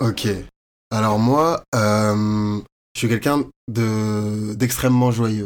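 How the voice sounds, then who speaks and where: A man speaks very slowly with long, frequent pauses and very even loudness. His pitch is fairly low and his intonation fairly even. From France, Paris area (Courbevoie). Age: 20s. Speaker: fashion model and university student. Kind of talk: interview, casual chat.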